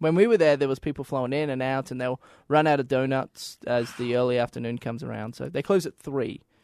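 With an Australian accent, a man talks at a very fast pace in a medium pitch with ordinary pitch variation. The sound is dry and close with no echo, over a quiet background. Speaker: sports media host. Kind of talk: casual chat.

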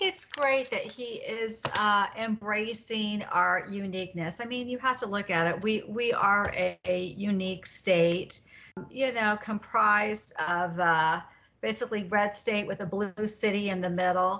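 This is an unremarkable speaking voice. It goes at a fairly slow pace with fairly even intonation. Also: woman, medium pitch for a woman. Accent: American. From Indiana. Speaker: women's advocacy leader. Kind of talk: radio panel discussion.

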